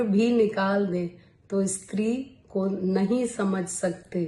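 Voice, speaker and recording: Her voice sits at a medium pitch for a woman, dark and mellow in tone, somewhat breathy, with ordinary pitch variation. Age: 60s. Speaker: YouTuber, poet. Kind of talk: talk to camera, health advice. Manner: formal.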